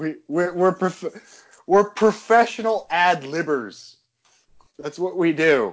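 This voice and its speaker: A man talks at a very slow pace. His voice is high-pitched, with ordinary pitch variation. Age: 20s. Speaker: podcast co-host, actor. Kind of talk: casual chat. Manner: halting.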